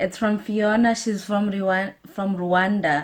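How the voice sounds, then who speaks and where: Somewhat breathy, a woman speaks at a fairly slow pace on a very clean recording with a silent background. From Zimbabwe, Harare. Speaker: YouTuber. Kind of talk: casual Q&A vlog. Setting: talking to camera.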